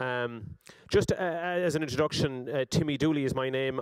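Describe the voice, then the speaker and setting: With an Irish accent, a man talks at a fairly quick pace with ordinary pitch variation. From Ireland. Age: 40s. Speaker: politician. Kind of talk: speech. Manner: halting, many fillers and repetitions.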